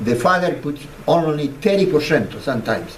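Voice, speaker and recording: A man talks at a fairly slow pace with lively intonation over noticeable background noise. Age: 80s+. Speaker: dragon fruit grower. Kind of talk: public talk to an audience. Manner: charismatic.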